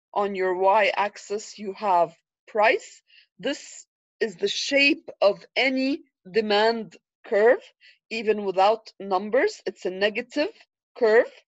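A woman with an Arabic accent speaks in a fairly high pitch at a very slow pace. Her pitch varies in an ordinary way, and she leaves long, frequent pauses. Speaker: economics lecturer. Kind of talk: lecture. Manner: frequent fillers, repetitive.

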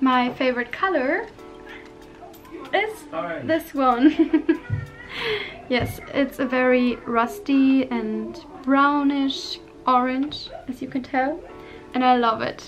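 A woman with a high-pitched voice talks at a very slow pace. She leaves long, frequent pauses while faint music plays behind her. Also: ordinary pitch variation. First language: not English. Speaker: vlogger. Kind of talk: casual talk to camera. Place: home room. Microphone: phone near.

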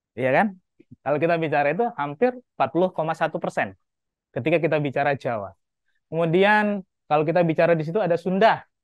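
At a fairly quick pace, a man talks in a high voice with long, frequent pauses, the sound dry with no echo against a quiet background. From Lombok, Indonesia. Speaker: university lecturer. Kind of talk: lecture. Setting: classroom. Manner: animated. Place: classroom.

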